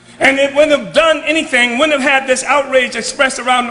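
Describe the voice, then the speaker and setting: A man with an American accent talks in a raised, projected voice at an extremely high pitch, with ordinary pitch variation. Noticeable background noise runs under his speech. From United States. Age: 70s. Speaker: political activist leader.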